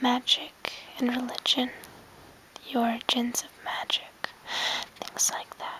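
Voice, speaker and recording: Whispering at a fairly slow pace, a woman leaves long, frequent pauses amid noticeable background noise. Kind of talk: ASMR whisper video showing items to camera. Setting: home bedroom recording. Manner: soft-spoken, whispering.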